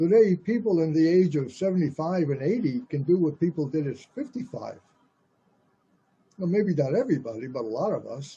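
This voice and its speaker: An American-accented man at a high pitch, with lively intonation and a fairly quick pace. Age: 80s+. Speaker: radio host. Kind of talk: political commentary monologue. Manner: halting, with repetitions.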